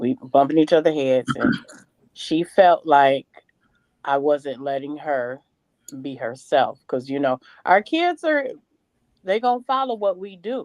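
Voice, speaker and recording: A woman with a very deep, low pitch and very wide pitch swings speaks in an animated tone at a fairly slow pace with long, frequent pauses, recorded dry and close with no echo. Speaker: mother on a panel, parenting class teacher. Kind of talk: casual panel discussion.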